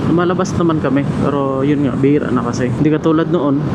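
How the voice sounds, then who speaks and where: Amid noticeable background noise and audible room echo, a man with a fairly high pitch talks at a fairly quick pace in a monotone, flat intonation. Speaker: motovlogger. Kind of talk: casual vlog narration while riding. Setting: riding a motorcycle, in helmet. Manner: quiet, lowered voice.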